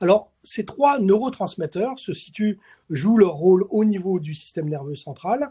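Over a quiet background, a man with a dark, mellow tone speaks at a fairly slow pace. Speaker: chemistry professor; webinar presenter. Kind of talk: lecture. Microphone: webcam.

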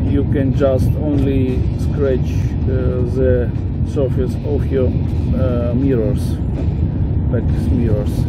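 Speech unfolds at a very slow pace. Loud background noise sits behind it. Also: man, dry sound with no echo. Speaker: travel vlogger. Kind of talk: casual travel commentary. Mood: unimpressed, dismissive. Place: open country. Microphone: phone near.

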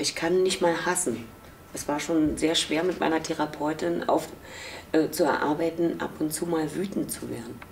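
This woman's voice sits very deep and low, with fairly even intonation at a moderate pace. She leaves long, frequent pauses, and light background noise is present. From East Berlin, Germany. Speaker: former East German youth detainee, contemporary witness. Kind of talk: interview answer. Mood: reflective, emotional memories. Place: office.

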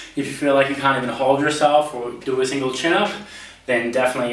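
Audible room echo around a man's speech with ordinary pitch variation. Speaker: personal trainer. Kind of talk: tutorial. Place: home room.

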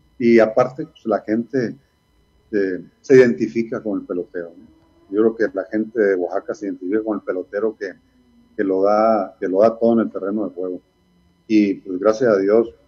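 A man with a dark, mellow tone and fairly low pitch, fairly even intonation, a fairly quick pace with long, frequent pauses, and a quiet background. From Sonora, Mexico (Ciudad Obregón); Sonora. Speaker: retired baseball player and coach; interviewee. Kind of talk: interview. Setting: video call. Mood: reflective, nostalgic. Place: home room. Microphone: video call.

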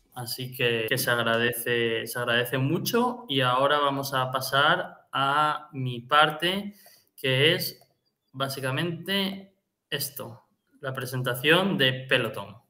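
A man's voice at medium pitch, bright and sharp in tone, with ordinary pitch variation and a very slow pace. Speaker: finance podcast host. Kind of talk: financial analysis; casual chat.

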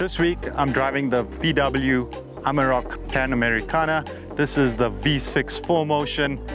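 Dry sound with no echo and clear music in the background. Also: man. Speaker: car reviewer. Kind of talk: presenter review. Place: open country. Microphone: lapel.

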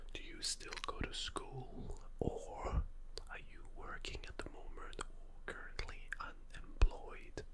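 A soft-spoken man talks at a very slow pace with ordinary pitch variation. Loud noise fills the background. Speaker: ASMR role-play host. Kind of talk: soft-spoken role-play. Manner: soft close-mic ASMR voice. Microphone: studio mic.

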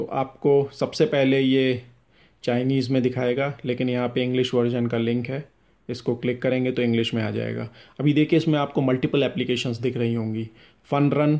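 A man's dark, mellow tone moves at a moderate pace in monotone, flat intonation, with a quiet background. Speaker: shop seller demonstrating product. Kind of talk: tutorial. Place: home room. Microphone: phone near.

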